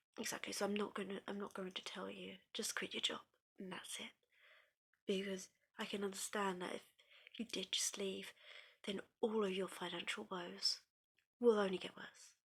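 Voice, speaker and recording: Whispering in a British accent, the speaker keeps a moderate pace broken by long, frequent pauses. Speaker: ASMR creator. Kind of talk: therapy role play, one-sided ASMR talk to the listener. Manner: whispering, comforting.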